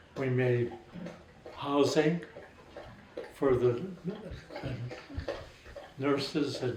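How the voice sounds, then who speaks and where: Speaking very slowly with fairly even intonation, a man with a fairly high pitch is heard amid noticeable background noise and audible room echo. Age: 80s+. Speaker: war veteran. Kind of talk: interview.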